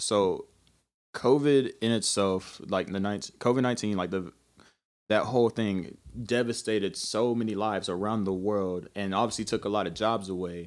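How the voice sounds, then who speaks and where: In a plain, everyday voice, a man speaks at a fairly low pitch and moderate pace with fairly even intonation, recorded very cleanly over a silent background. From US South, Kingsport, Tennessee. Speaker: rapper and actor. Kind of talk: casual interview chat.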